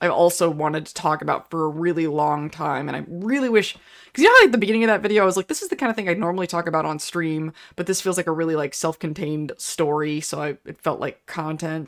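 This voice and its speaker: Loud and at a very fast pace, a woman with an American accent talks with ordinary pitch variation. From Pittsburgh, US. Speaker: YouTuber. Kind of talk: casual livestream chat. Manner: halting, many fillers.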